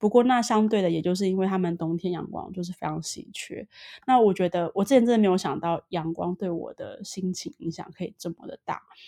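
With a dark, mellow tone, a woman speaks at a medium pitch and a fairly quick pace, showing ordinary pitch variation and big swings in loudness. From Taiwan. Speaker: Taiwanese expat in Sweden. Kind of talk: casual interview chat.

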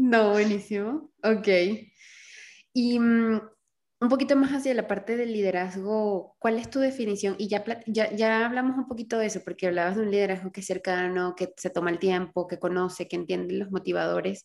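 Her medium-pitched voice moves at a moderate pace with ordinary pitch variation. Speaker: podcast host. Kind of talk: interview.

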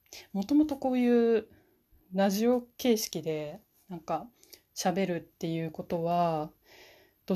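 A woman's medium-pitched voice with a dark, mellow tone and lively intonation, over a quiet background. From Fukushima, Japan. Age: 20s. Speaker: university student. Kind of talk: solo podcast self-introduction. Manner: hesitant, many fillers.

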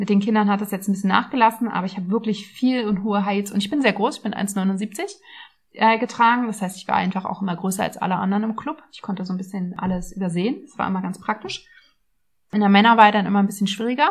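A woman talks at a very fast pace in a somewhat breathy voice. Her pitch is medium and her intonation fairly even. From Berlin, Germany. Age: 30s. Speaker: nutrition coach and podcast host. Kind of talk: casual personal monologue. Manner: chatty.

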